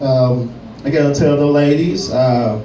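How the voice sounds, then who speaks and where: Audible room echo surrounds a man whose pitch is fairly high and whose intonation stays fairly even. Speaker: stand-up comedian. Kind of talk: stand-up. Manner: slow.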